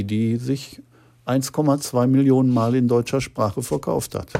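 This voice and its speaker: A very slow voice of dark, mellow tone on a very clean recording with a silent background. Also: man. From Ruhr area, Gelsenkirchen. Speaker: crime novelist. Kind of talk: interview.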